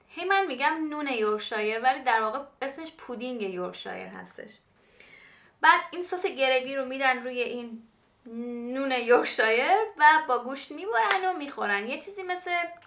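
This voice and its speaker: A woman speaks in a high voice at a moderate pace. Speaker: cooking vlogger. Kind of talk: casual vlog chat. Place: kitchen. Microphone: camera far.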